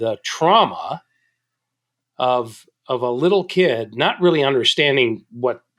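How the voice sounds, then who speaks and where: A man speaks at a medium pitch with ordinary pitch variation. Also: very clean recording, silent background. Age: 60s. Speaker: business author and leadership consultant. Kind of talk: podcast interview. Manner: halting, with frequent repetitions.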